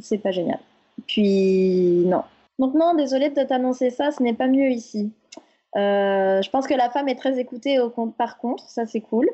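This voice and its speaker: At a fairly slow pace, a woman talks in a high-pitched voice. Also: ordinary pitch variation. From France. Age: 30s. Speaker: podcast guest sharing personal story. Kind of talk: casual interview chat.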